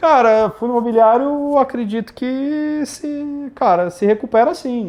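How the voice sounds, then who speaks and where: The speaker is a man. The background is quiet. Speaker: investment firm co-founder. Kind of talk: live Q&A stream. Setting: online livestream. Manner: fast; casual, animated.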